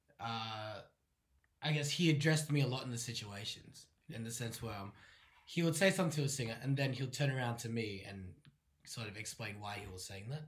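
Somewhat breathy, a man talks at a medium pitch with ordinary pitch variation and long, frequent pauses. His loudness swings widely, and room echo is audible. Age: young. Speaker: opera répétiteur (vocal coach pianist). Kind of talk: interview. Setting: in person, same room as host.

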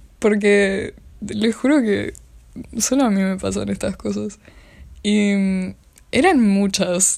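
Very slowly, a woman speaks in a Rioplatense accent at medium pitch. The recording is very clean, with a silent background. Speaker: podcaster. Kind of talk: solo casual monologue.

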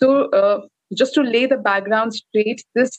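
Dry, close audio with no echo of a woman's somewhat breathy, fairly high voice, ordinary pitch variation and a moderate pace. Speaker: podcast co-host and coach. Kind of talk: casual chat. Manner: animated.

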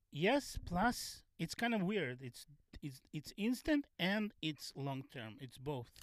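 Very slowly and with a Russian accent, a man speaks in a high voice with very wide pitch swings. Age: 50s. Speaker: stand-up comedian. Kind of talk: casual chat. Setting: in a van. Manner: halting.

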